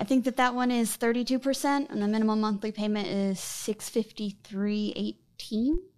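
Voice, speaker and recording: Here a woman uses a normal speaking voice at a fairly high pitch and a moderate pace, with ordinary pitch variation. She speaks with hardly any pauses. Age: 30s. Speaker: guest seeking financial advice. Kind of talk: casual interview about finances.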